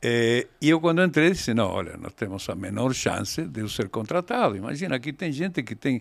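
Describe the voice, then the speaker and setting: This man's pitch swings very widely as he talks at a moderate pace. The recording is very clean, with a silent background. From Argentina, raised in Mendoza. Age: 70s. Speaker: winemaker. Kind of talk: interview. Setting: studio. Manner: halting.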